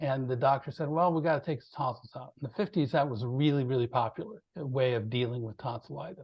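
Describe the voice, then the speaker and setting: Speaking very fast with hardly any pauses, a man at medium pitch sounds somewhat breathy, his loudness swinging widely while his pitch varies in an ordinary way. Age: 60s. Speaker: composer and PTSD awareness advocate. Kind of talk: interview.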